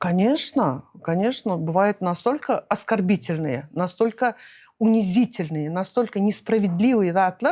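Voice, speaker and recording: Her voice has a dark, mellow tone, and this woman speaks with lively intonation. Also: medium pitch for a woman, very even loudness. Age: 60s. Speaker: businesswoman. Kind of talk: interview. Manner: hesitant, many fillers.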